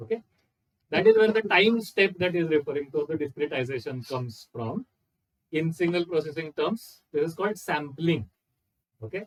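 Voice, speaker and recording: With a dry, close sound and no echo, a man with a fairly high pitch and lively intonation speaks at a moderate pace with long, frequent pauses. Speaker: lecturer. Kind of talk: lecture.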